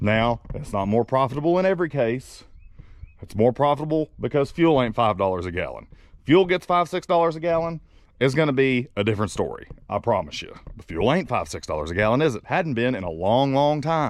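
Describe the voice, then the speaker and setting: Speaking in a Southern accent, the voice moves through very wide pitch swings and big swings in loudness. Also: man, medium pitch for a man. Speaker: truck driver vlogger. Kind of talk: casual vlog talk.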